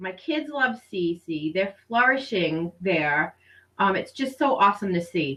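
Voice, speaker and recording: A woman with an American accent, very wide pitch swings and a bright, sharp tone. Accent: Rhode Island and Boston. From Rhode Island, US. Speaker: homeschooling mother and program director. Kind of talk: interview testimony.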